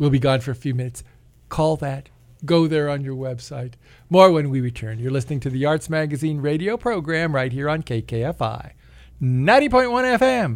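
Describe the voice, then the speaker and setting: Recorded very cleanly with a silent background, a man talks in a plain, everyday voice at a fairly high pitch, with ordinary pitch variation. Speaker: radio host. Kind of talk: radio host patter. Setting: radio studio. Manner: chatty, warm, meandering, laughs often.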